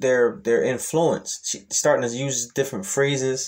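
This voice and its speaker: Speaking at a fairly slow pace, a man uses a medium pitch with ordinary variation. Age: 30s. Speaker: YouTube commentator. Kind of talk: reaction video monologue. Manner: casual with many fillers.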